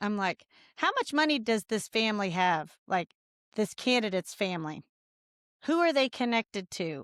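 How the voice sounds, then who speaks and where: On a very clean, dry and close recording with a silent background and no echo, a woman with a Midwestern American accent speaks at a moderate pace, her fairly high pitch making very wide swings. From Indiana, rural. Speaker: congressional candidate. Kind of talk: casual interview. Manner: animated.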